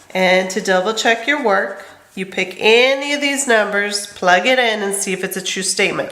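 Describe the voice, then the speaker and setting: A woman with noticeable background noise and audible room echo. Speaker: middle school math teacher. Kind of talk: lecture.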